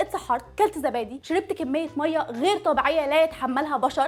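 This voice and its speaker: Over music in the background, a woman with a high pitch speaks at a moderate pace in an animated tone. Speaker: YouTuber. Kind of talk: vlog. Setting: at home.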